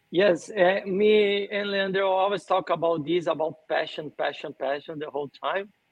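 A man with a Portuguese accent and a high pitch. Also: ordinary pitch variation, moderate pace. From Brazil, São Paulo. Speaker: sports event organizer. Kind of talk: podcast interview.

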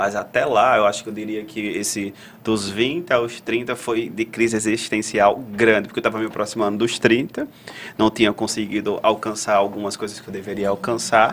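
Fairly low male voice, an unremarkable speaking voice with fairly even intonation. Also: moderate pace. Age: 30s. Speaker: psychologist, podcast co-host. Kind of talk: live panel discussion.

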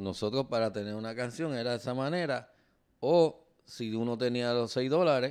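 A man talks with a Puerto Rican accent and ordinary pitch variation. The background is quiet. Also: medium pitch for a man, moderate pace. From Puerto Rico. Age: 50s. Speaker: podcast co-host, teacher. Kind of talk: casual chat.

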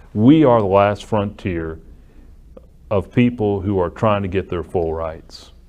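A man with an unremarkable speaking voice, fairly low pitch, a fairly slow pace and an American accent. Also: ordinary pitch variation. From US South, Alabama (Muscle Shoals area). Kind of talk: interview.

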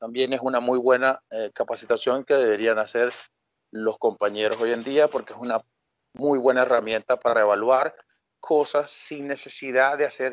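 The voice is monotone with flat intonation, moving at a moderate pace, with a dry, close sound and no echo. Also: man. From Venezuela, Coro (Falcón state). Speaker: sports scientist and fitness coach. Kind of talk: podcast interview.

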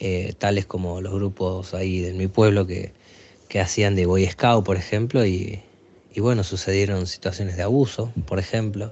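A man with a fairly low pitch talks fairly slowly, keeping his intonation fairly even. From Aguaray, Salta, northern Argentina. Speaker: educational psychologist. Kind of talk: interview testimony. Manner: halting, many fillers.

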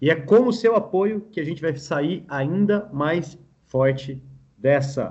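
A man speaks at a very slow pace with a fairly high pitch. His pitch variation is ordinary. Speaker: podcast host. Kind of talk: casual chat.

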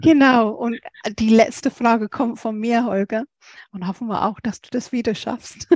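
An unremarkable speaking voice, dry and close with no echo, over a quiet background. The intonation stays fairly even at a moderate pace. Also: woman, fairly high pitch for a woman. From England. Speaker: podcast co-host. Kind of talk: interview conversation.

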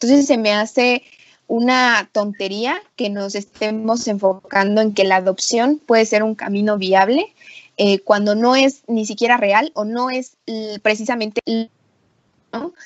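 With an ordinary speaking voice, a woman talks at a fairly high pitch and a fairly slow pace, keeping fairly even intonation. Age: 20s. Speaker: feminist page creator. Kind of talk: casual discussion.

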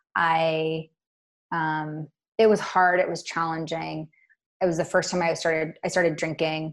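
A woman with an unremarkable speaking voice speaks at a fairly low pitch and with fairly even intonation. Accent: American. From Washington State, Puget Sound. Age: 30s. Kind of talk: casual interview.

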